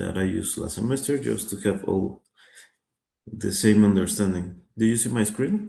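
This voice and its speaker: Audible room echo surrounds a man with a Spanish accent. His voice sits fairly low in pitch, with a dark, mellow tone. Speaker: finance teacher. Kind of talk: online lecture. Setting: video call. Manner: hesitant, many fillers.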